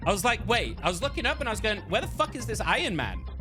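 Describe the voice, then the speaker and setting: A man talks at a fairly quick pace with music in the background. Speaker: esports shoutcaster. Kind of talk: casual talk to camera. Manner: relaxed, chatty.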